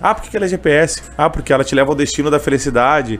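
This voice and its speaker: A man speaks very fast while noticeable background noise carries on behind him. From Canoas, Rio Grande do Sul, Brazil. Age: 20s. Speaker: street vendor and gospel singer. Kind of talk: interview, casual chat. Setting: radio studio, live on YouTube.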